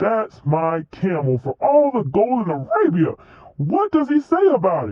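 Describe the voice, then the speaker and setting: At a moderate pace, a man puts on a character voice pitched high. His pitch swings very widely. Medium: read story. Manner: stern, lecturing.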